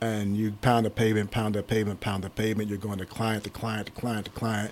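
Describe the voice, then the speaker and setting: A man with an American accent speaks at a fairly low pitch in a flat, monotone delivery. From Pittsburgh, Pennsylvania. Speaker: staffing agency owner. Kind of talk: interview.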